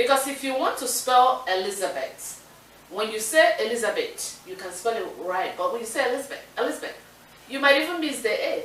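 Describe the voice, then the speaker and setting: A woman with an African accent speaks at a fairly quick pace in a high voice with lively intonation, with audible room echo and noticeable background noise. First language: Igbo. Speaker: talk show co-host. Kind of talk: casual chat.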